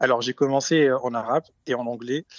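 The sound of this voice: A man speaks quickly at a medium pitch, his intonation fairly even. The sound is dry and close, with no echo.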